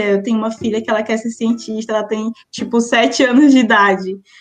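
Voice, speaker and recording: A fairly high-pitched woman at a fairly quick pace, in a monotone, flat delivery. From Maranhão, Brazil (Imperatriz). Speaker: physics PhD student and science communicator. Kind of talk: interview.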